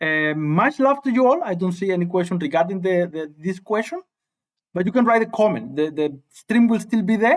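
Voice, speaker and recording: A man with a slight Spanish accent, high in pitch, lively in intonation, at a fairly quick pace. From Cuba. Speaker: high school physics teacher. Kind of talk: live-stream tutorial. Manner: halting, repetitive.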